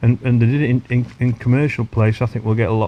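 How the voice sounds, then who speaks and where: His tone is dark and mellow, medium in pitch, with fairly even intonation. The man talks at a very fast pace. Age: 60s. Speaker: champion match angler. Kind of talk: casual interview. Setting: outdoors on a lake bank.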